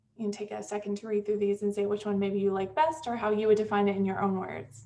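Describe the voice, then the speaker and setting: Over noticeable background noise, a woman talks very fast at a medium pitch with ordinary pitch variation. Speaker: university lecturer. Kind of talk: lecture. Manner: audible heavy breathing.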